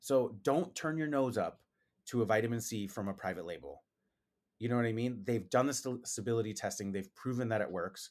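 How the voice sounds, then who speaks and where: Recorded very cleanly against a silent background, a man speaks fairly quickly at medium pitch with ordinary pitch variation in an unremarkable speaking voice. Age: 40s. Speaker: esthetician and skincare brand founder. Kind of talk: casual interview.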